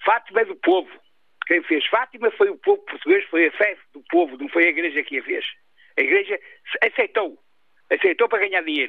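Animated in tone, a man talks at a fairly quick pace, broken up by long, frequent pauses. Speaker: caller. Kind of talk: radio call-in opinion.

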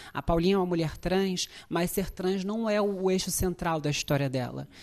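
A plain, everyday voice speaks at a moderate pace with fairly even intonation over a quiet background. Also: woman. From Brazil, favela. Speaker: actress. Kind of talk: interview.

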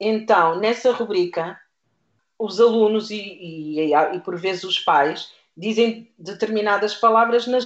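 This woman has a plain, everyday voice, pitched fairly high. She moves at a fairly slow pace with ordinary pitch variation. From Portugal, Lisbon south bank (Seixal). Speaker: primary school teacher. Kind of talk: radio interview.

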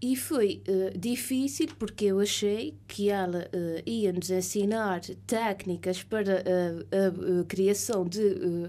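In an Azorean accent, a woman speaks very slowly at a medium pitch, her dark, mellow tone showing ordinary pitch variation. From Azores, São Miguel. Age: 30s. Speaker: writer. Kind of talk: radio interview. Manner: halting, many fillers.

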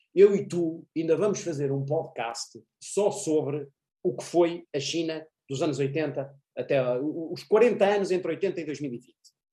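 A man speaks at a very slow pace in a dark, mellow tone. His pitch variation is ordinary. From Portugal. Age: 40s. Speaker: university professor and international affairs commentator. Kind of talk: interview.

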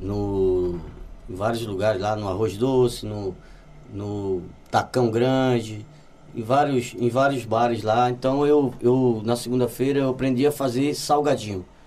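A man with a Brazilian accent talks at a fairly slow pace. His voice is medium in pitch, with ordinary variation. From Brazil, Olinda, Pernambuco. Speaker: musician. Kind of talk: casual chat.

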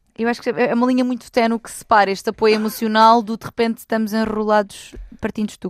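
Delivered very fast in a European Portuguese accent, the speech has a flat, monotone intonation, big swings in loudness, and a dry, close sound with no echo. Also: woman, fairly high pitch for a woman. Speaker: relationship expert. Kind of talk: casual chat.

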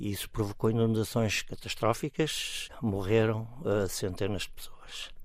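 A man talks in a plain, everyday voice at a medium pitch. His pitch varies in an ordinary way. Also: fairly slow pace. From Portugal, Estoril near Lisbon. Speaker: volunteer and parents' association leader. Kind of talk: radio interview.

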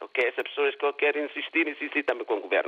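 The speaker is a man. His pitch is fairly high. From Guinea-Bissau. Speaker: radio caller. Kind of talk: phone-in opinion. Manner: halting.

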